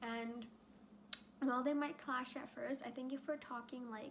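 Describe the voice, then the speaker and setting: A woman with a high pitch talks at a moderate pace, her voice shaky and her intonation fairly even. Audible room echo and noticeable background noise are present. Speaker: youtuber. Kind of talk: casual chat. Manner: hesitant with fillers.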